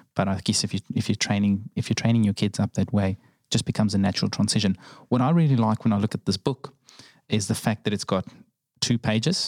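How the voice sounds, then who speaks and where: Speaking at a very fast pace with a New Zealand accent, a man uses a fairly low pitch, ordinary pitch variation and very even loudness, recorded with a dry, close sound and no echo. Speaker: podcast host. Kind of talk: interview.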